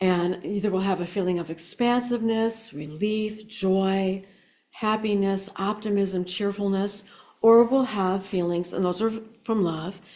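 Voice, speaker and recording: A woman talks at a fairly slow pace in a medium-pitched voice. Hers is an unremarkable speaking voice. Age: 60s. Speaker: spiritual speaker and psychic. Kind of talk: inspirational talk.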